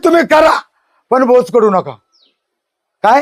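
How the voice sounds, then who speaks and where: This man's voice is extremely high-pitched, and his intonation is lively. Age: 60s. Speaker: local politician. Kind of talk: press interview. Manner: animated.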